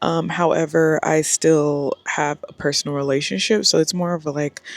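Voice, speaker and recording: A woman with a very deep, low pitch talks at a moderate pace with fairly even intonation, the sound dry and close with no echo over noticeable background noise. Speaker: lifestyle vlogger. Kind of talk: casual vlog talk to camera. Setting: outdoors by a pool. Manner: loud, speaking up over music.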